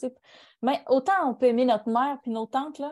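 In a Quebec accent, a woman speaks at a fairly quick pace against a quiet background. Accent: Québécois French. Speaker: podcast co-host. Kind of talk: casual chat.

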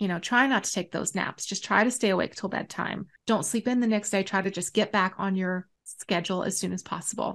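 A woman talks at a fairly quick pace with a medium pitch. She has a plain, everyday voice. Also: fairly even intonation, quiet background. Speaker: podcast co-host. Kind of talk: casual chat.

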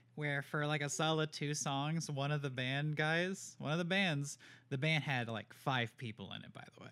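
A man's plain, everyday voice at a moderate pace, fairly even in intonation, on a very clean recording with a silent background. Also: fairly high pitch for a man. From North Carolina, Raleigh. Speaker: podcast co-host. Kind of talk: casual chat.

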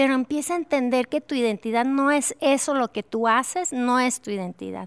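With ordinary pitch variation and a fairly high pitch, a woman speaks in an unremarkable speaking voice, the sound dry and close with no echo on a very clean recording with a silent background. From Mexico, Durango. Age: 50s. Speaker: worship leader and author. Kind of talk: interview conversation.

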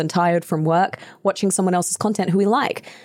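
A woman with an Australian accent has a fairly low pitch, fairly even intonation and a dark, mellow tone in a very clean recording with a silent background. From Australia (New South Wales). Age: 20s. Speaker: voice actor and podcast host. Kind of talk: casual chat.

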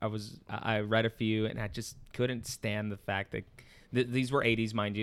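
A man's fairly low voice at a moderate pace, with monotone, flat intonation. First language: not English (learned it around age seven). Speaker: comic shop employee and skateboarder. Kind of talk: casual chat.

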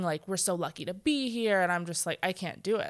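A woman with an ordinary speaking voice talks at a medium pitch with fairly even intonation in a very clean recording with a silent background. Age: 30s. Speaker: guest, mom and worker. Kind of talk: casual conversation.

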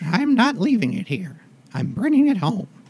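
A man puts on a character voice, pitched high. His pitch swings very widely at a moderate pace. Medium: actual play. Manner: stammering, possessive.

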